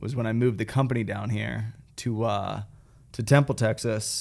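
Speaking at a moderate pace, a man has an ordinary speaking voice with medium pitch and fairly even intonation. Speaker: operations manager. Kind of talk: casual business chat.

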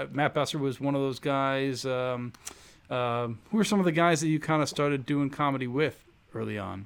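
A man with a normal speaking voice talks at a moderate pace, his fairly high pitch showing ordinary variation. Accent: American. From Chicago (Rogers Park). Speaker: podcast host. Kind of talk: casual interview chat.

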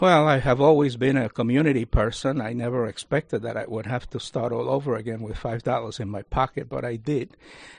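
A man with a Spanish accent speaks at a fairly quick pace and medium pitch, with hardly any pauses. His intonation is fairly even, and the sound is dry and close with no echo. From Cuba. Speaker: university lecturer and Rotary leader. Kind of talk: radio interview. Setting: studio.

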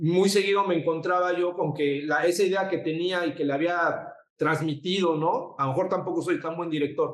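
Hardly pausing at all, a man talks at a moderate pace in a high pitch with monotone, flat intonation. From Mexico City. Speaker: photographer and designer. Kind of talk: interview. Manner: halting, repeats words.

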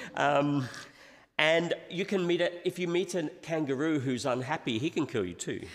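A man with a fairly high voice speaks at a moderate pace, showing vocal fry and ordinary pitch variation. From England. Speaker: visiting pastor. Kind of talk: sermon with interpreter. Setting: church. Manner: pausing phrase by phrase for interpretation.

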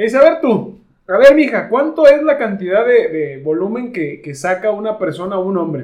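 Speaking at a moderate pace, a man with a high voice makes very wide pitch swings. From Mexico, Tepatitlán area of Jalisco. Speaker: urologist podcast host. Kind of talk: casual chat.

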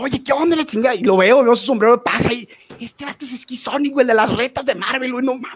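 With a Mexican accent, a man talks at a fairly quick pace and an extremely high pitch. His loudness swings widely. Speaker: fighting game commentator. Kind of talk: casual chat.

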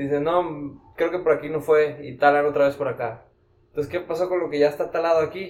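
A man speaks in a Mexican accent at a fairly quick pace. His fairly high voice stays monotone and flat. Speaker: financial administrator, podcast guest. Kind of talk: casual chat.

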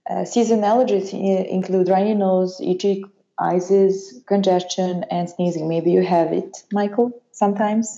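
In a Serbian accent, a woman with a dark, mellow, medium-pitched voice speaks at a fairly slow pace. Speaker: allergist and immunologist. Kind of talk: interview. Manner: halting.

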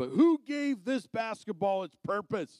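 With lively intonation and an animated tone, a man talks at a moderate pace in an American accent. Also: dry, close sound with no echo. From Arizona. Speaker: evangelist and motivational speaker. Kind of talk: sermon. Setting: church.

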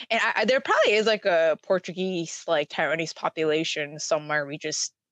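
A woman speaks fairly quickly in a plain, everyday voice, her pitch fairly low with ordinary variation. The sound is dry and close, with no echo. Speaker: podcast co-host. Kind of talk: casual chat.

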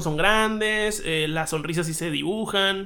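This man has a high pitch and a bright, sharp tone. His voice is raised and projected. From Hermosillo, Sonora, Mexico. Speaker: podcast co-host. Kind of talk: casual chat.

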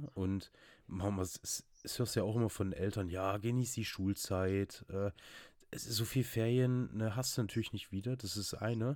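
Here is a normal speaking voice, a man's with a fairly low pitch and fairly even intonation. He keeps a moderate pace on a very clean recording with a silent background. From Saxony, Zwickau. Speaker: podcast co-host. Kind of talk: casual chat.

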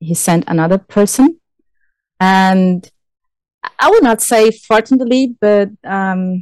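With a Brazilian accent, a woman at medium pitch speaks at a very slow pace, the sound dry and close with no echo. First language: Portuguese. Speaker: forest engineer. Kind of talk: interview.

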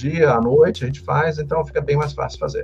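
Fairly quick speech from a man, with noticeable noise behind it. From Santos, São Paulo state, Brazil. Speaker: shipping consultant and course instructor. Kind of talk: casual interview.

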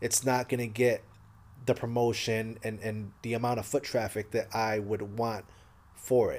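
This man talks at a medium pitch in a monotone, flat intonation. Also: moderate pace. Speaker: podcast host. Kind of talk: solo Q&A episode. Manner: halting, repeats words.

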